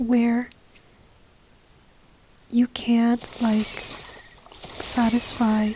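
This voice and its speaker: A soft-spoken woman talks at a high pitch. Noticeable background noise runs under her voice. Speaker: ASMR gaming content creator. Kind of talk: casual talk to camera, gaming discussion.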